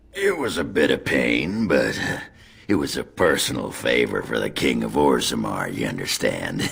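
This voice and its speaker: Using a put-on character voice, a raspy man speaks at a very deep, low pitch and a moderate pace. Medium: video game. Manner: crude, boisterous.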